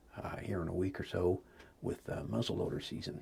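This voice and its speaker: Whispering at a fairly quick pace fills the clip. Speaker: homesteader and hunter. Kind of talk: casual vlog talk. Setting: outdoors in a deer stand. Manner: quiet, hushed.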